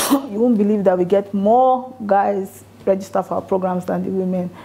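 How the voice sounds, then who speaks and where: At a moderate pace and medium pitch, a woman speaks over noticeable background noise. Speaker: lawyer, NGO founder. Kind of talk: motivational talk to an audience. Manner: soft-spoken.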